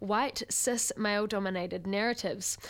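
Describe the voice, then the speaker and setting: A woman with a New Zealand accent speaks at a moderate pace with ordinary pitch variation. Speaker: student radio host. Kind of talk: radio interview and presenting. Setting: studio.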